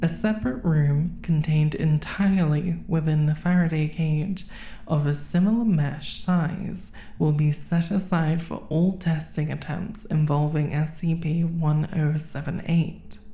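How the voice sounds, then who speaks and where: A woman speaks at a fairly slow pace with a very deep, low pitch. Her tone is dark and mellow, and somewhat breathy. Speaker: horror narrator. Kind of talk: SCP document readout.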